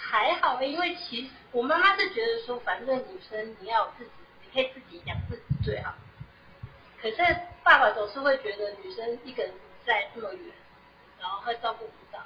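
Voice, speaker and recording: A woman with a high pitch talks at a moderate pace, leaving long, frequent pauses. Her pitch swings very widely, with big swings in loudness. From Taiwan. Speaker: SAP consultant. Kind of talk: interview. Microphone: too quiet at first.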